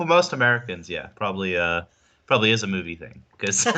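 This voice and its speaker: A man with a slight South African accent talks at a fairly quick pace. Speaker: insurance agent. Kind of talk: interview on live stream. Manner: hesitant, many fillers.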